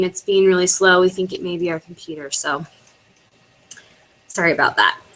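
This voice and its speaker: The pace of this woman's speech is fairly quick. Her pitch sits in the medium range. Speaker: network marketing team leader. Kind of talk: webinar training. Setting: online video broadcast. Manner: fast.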